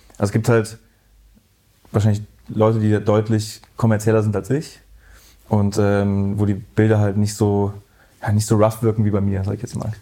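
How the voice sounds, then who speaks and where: A dark, mellow tone comes through at a moderate pace, with monotone, flat intonation. Long, frequent pauses break up the speech. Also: man, fairly low pitch for a man. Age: 30s. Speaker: photographer. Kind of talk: casual interview. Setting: in-person recording.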